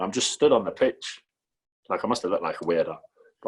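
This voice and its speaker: A man talks at a fairly quick pace in a Geordie accent. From northern England, Newcastle. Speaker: professional goalkeeper. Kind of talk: casual chat.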